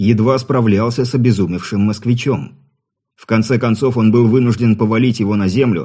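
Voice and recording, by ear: In a natural voice, someone reads aloud with fairly even intonation while the background stays quiet.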